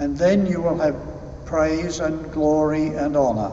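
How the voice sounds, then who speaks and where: A man with a fairly high pitch speaks at a fairly slow pace with fairly even intonation, with audible room echo and light background noise. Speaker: lector reading scripture. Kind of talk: reading aloud at mass. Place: church. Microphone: podium.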